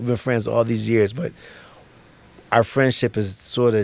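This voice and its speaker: The speech unfolds at a moderate pace. Pitch varies in an ordinary way, with noticeable background noise behind it. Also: man. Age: 60s. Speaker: comedian. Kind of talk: casual chat.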